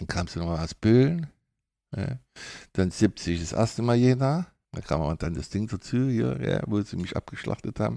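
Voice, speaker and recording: Dark and mellow in tone, a man's fairly low voice moves through very wide pitch swings. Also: moderate pace, very clean recording, silent background. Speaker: former footballer and coach. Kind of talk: interview.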